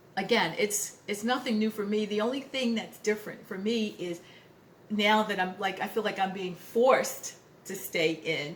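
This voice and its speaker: Her pitch medium with ordinary variation, a woman speaks at a moderate pace over noticeable background noise. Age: 60s. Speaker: lifestyle vlogger, retired finance worker. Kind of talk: casual vlog talk to camera. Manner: halting, many fillers and repetitions.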